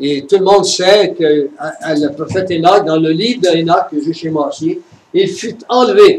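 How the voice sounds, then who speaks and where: A fairly slow-paced male voice, high in pitch, with ordinary pitch variation. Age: 70s. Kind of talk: religious conference talk.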